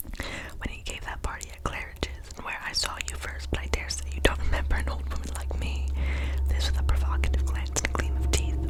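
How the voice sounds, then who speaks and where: A soft-spoken woman whispers at a very fast pace. Noticeable background noise can be heard. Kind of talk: ASMR book reading. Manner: soft-spoken, whispered.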